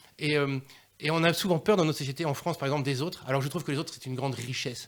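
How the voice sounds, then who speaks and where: On a very clean recording with a silent background, a man talks at a very fast pace with a fairly high pitch and ordinary pitch variation. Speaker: dub musician. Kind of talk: radio interview. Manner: animated.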